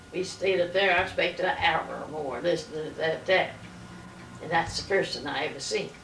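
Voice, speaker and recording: A woman with an American accent and a fairly low pitch, speaking at a moderate pace amid noticeable background noise and audible room echo. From US South, North Carolina. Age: 90s. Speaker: elderly interviewee. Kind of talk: oral history interview.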